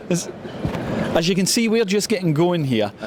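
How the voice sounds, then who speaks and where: A man speaks at a high pitch with a Scottish accent and ordinary pitch variation. His pace is fairly quick, and background noise is noticeable. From Scotland. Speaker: interviewer. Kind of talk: casual interview. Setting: outdoors.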